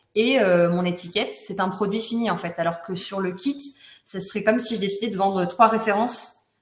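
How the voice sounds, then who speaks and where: A woman at a medium pitch speaks with ordinary pitch variation, and audible room echo surrounds her voice. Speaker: honey business owner giving customer testimonial. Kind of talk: testimony in a webinar. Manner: fast.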